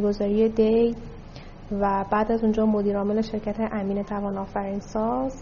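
The voice is somewhat breathy. Its intonation stays monotone and flat. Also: woman. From Tehran, Iran. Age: 30s. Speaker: investment company CEO. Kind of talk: interview.

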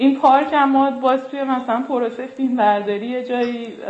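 Audible room echo surrounds the speaker. A woman talks at a moderate pace. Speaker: filmmaker and artist. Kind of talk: casual interview.

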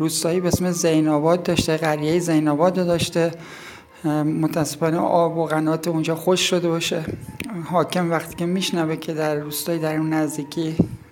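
A woman with a fairly low pitch speaks at a moderate pace in monotone, flat intonation, with audible room echo and noticeable background noise. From Iran, Yazd province village. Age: 50s. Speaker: local villager, storyteller. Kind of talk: interview, storytelling.

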